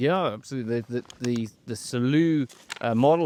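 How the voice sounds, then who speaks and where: The speaker has an English accent and a fairly quick pace. Pitch variation is ordinary. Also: man. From England. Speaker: managing director of a gunmaker, podcast host. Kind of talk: casual interview chat. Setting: on safari in the bush.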